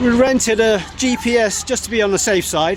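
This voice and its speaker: A man talks at a high pitch. Noticeable background noise can be heard behind him. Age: 60s. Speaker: travel vlogger. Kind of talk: travel vlog narration. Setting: outdoors. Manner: animated.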